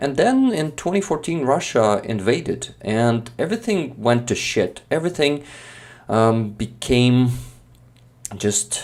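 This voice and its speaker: With a Ukrainian accent, a man talks at a moderate pace. His intonation is lively. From eastern Ukraine, Makiyivka (Donetsk region). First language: Ukrainian or Russian. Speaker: Ukrainian content creator. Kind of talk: casual conversation on a live stream. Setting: live stream. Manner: hesitant, many fillers.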